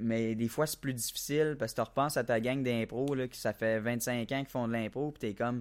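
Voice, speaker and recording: A man at a medium pitch and fairly quick pace, with fairly even intonation and big swings in loudness, on a very clean recording with a silent background. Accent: Quebec. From Quebec, La Tuque. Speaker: aspiring comedian. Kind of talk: casual chat.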